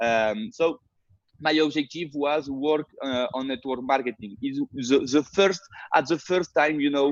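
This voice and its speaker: A fairly high-pitched man with a French accent, speaking fairly slowly, the sound dry and close with no echo. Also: ordinary pitch variation. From France. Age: 30s. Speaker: network marketer. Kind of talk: webinar presentation. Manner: halting, many fillers.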